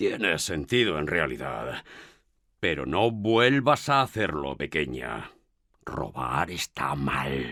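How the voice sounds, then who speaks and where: A man speaks at a very slow pace in a put-on character voice. His pitch is very deep and low. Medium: audio drama. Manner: warm, fatherly.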